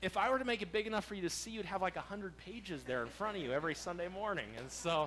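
Very fast speech with hardly any pauses carries an animated tone and lively intonation. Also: man, high pitch for a man. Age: 30s. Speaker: pastor. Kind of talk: sermon. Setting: church.

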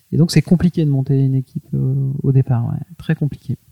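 With a dark, mellow tone and a somewhat breathy quality, a man talks at a fairly quick pace in a medium pitch, his intonation monotone and flat, the sound dry and close with no echo. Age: 40s. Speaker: entrepreneur. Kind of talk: interview. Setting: at the guest's home. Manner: halting.

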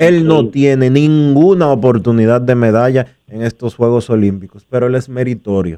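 Here a man speaks at a medium pitch with a dark, mellow tone. His pace is moderate, and his pitch variation is ordinary. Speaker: radio sports show host. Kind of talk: radio sports talk show. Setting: radio studio.

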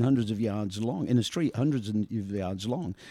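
A man with a Northumbrian accent speaks at a fairly quick pace, his medium-pitched voice dark and mellow in tone. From northern England, Ashington, Northumberland. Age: 60s. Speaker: youth soccer coach. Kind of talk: casual chat.

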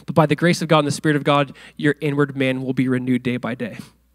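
This man's tone is animated. He speaks at a fairly quick pace. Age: 30s. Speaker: pastor. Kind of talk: sermon.

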